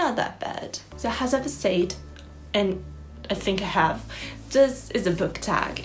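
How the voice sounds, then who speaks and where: Fairly slow speech with an Italian accent, audible room echo, and music in the background. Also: woman. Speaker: booktuber. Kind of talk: casual vlog. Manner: halting.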